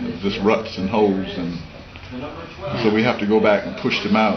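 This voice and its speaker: A man with an American accent at a fairly quick pace, with audible room echo and noticeable background noise. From South Carolina (Rock Hill), then New York City from age 11. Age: 80s. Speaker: photographer. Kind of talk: interview.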